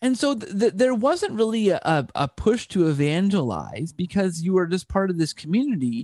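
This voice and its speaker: A man with a Canadian accent talks at a moderate pace in a high pitch with very wide pitch swings. The recording is very clean and dry, with a silent background, a close sound, and no echo. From Canada. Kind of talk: casual interview chat. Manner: frequent word repetitions.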